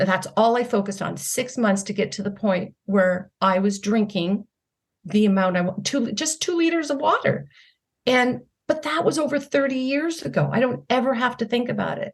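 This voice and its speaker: Somewhat breathy and fairly high-pitched, a woman speaks at a moderate pace. Her pitch swings very widely. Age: 60s. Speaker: health and wellness coach. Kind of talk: interview conversation.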